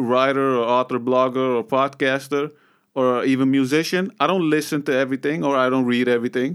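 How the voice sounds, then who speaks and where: In a very clean recording with a silent background, a man with a fairly high pitch speaks at a fairly quick pace in an unremarkable speaking voice. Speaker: podcast host. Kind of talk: solo podcast monologue. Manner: casual, filler-heavy.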